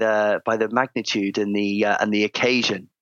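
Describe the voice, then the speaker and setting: With a southern English accent, a man speaks at a moderate pace in a bright, sharp tone, the sound dry and close with no echo. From England, Cheltenham, Gloucestershire. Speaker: former Olympic diver and performance coach. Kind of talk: interview. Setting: video call.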